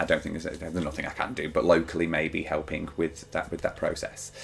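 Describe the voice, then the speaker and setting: A man talks at a fairly quick clip while noticeable background noise carries on. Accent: British. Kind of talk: personal vlog monologue. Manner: fast; halting, many fillers and repetitions.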